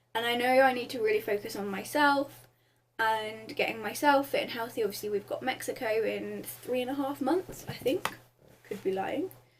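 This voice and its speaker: Using ordinary pitch variation, a woman speaks in a high voice with a southern English accent. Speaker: vlogger. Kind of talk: casual vlog update. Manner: fast; hesitant with many ums.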